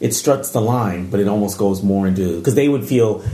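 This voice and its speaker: Talking at a very fast pace with an American accent, a man is heard with audible room echo and noticeable background noise. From Japan, US military bases. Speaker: podcast co-host visiting. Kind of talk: casual chat.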